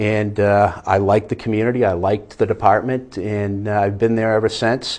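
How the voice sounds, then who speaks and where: Fairly low in pitch, a man speaks with a slight Boston accent at a moderate pace. His intonation is monotone and flat, with hardly any pauses. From Boston area, US. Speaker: fire inspector. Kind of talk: interview.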